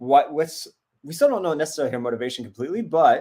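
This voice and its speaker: On a very clean recording with a silent background, a man's voice comes through. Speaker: actor and streamer hosting a watch-along. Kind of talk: casual live-stream chat. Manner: loud, boisterous.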